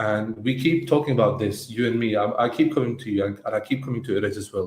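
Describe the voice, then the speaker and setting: A very fast-talking man at a medium pitch, with ordinary pitch variation. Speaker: agency co-founder and podcast co-host. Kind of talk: casual podcast discussion. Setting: live stream. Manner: halting, with repetitions.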